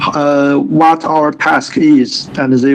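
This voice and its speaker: A man with a Chinese accent at a very slow pace, amid noticeable background noise. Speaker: English student. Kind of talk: online English lesson. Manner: halting.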